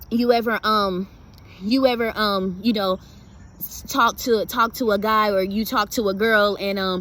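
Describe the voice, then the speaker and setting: A woman is speaking at a fairly high pitch. Noticeable noise runs in the background. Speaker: motivational video creator. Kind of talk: motivational talk to camera. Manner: fast; casual, repetitive with fillers.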